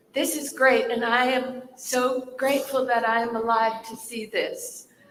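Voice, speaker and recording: A woman talks at a fairly slow pace with a high pitch and monotone, flat intonation. Noticeable background noise can be heard. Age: 70s. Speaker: stage actor. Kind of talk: panel talk.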